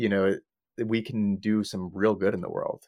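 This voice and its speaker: Fairly low male pitch at a fairly quick pace, in a dry, close sound with no echo. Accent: American. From Long Island, New York. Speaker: AI safety company executive. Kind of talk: podcast interview.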